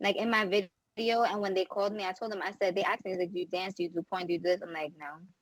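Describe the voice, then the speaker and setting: At a very fast pace, a woman talks with fairly even intonation. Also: medium pitch for a woman, hardly any pauses. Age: 20s. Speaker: reality TV cast member. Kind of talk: casual interview chat.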